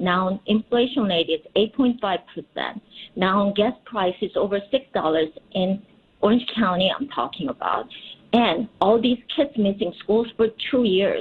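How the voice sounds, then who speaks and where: Speaking with a Korean accent, a woman talks at a fairly slow pace, with medium pitch and ordinary pitch variation. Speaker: politician. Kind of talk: radio interview.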